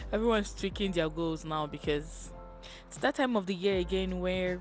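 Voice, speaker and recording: A woman's moderately paced speech with music in the background. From Nigeria. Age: young. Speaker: psychology student. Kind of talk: casual talk to camera.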